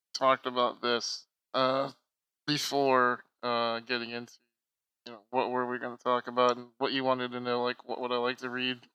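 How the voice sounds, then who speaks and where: A man speaks at a moderate pace and medium pitch, in an ordinary speaking voice. The recording is very clean, with a silent background. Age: 20s. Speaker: online activist and streamer. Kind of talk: casual chat.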